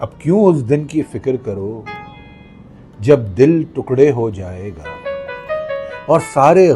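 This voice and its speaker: A man's voice rises and falls sharply in loudness while music plays in the background. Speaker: voice trainer. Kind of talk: poetry reading. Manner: expressive, emotional.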